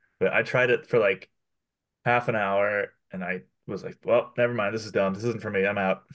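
This man has an unremarkable speaking voice, fairly low in pitch, with fairly even intonation. He talks at a moderate pace over a quiet background. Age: 30s. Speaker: podcast co-host. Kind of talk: casual chat.

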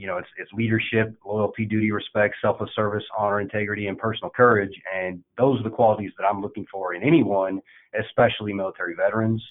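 Fairly low-pitched, a man with an American accent speaks at a very fast pace with fairly even intonation. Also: hardly any pauses. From Indiana, US Midwest. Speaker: army veteran, operations manager. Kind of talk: interview. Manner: halting, many fillers.

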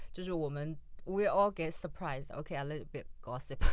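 Speaking at a fairly quick pace with ordinary pitch variation, a woman talks with a Chinese accent. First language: Mandarin Chinese. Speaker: podcast co-host. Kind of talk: casual chat.

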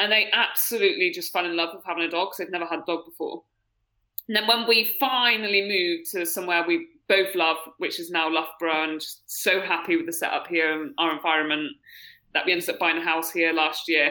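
A woman with an English accent talks very fast in a bright, sharp tone. Her pitch is fairly low, with ordinary variation. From UK. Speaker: triathlete. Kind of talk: casual chat. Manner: animated.

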